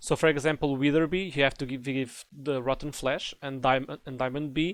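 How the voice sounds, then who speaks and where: A man with a non-native accent is heard in a very clean recording with a silent background. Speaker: Minecraft tutorial creator. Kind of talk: game tutorial narration. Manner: casual, hesitant.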